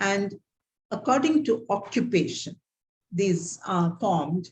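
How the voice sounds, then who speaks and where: Somewhat breathy, with a Tamil Indian accent, the speaker moves at a very slow pace with lively intonation. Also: woman, medium pitch for a woman. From South India, Tamil Nadu. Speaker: theologian and guest lecturer. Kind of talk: guest lecture over video call. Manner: halting, many fillers.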